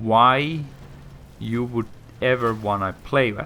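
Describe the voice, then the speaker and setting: This man's voice sits at a medium pitch. His pitch varies in an ordinary way. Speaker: gaming video creator. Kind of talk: game review commentary. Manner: casual, halting with restarts.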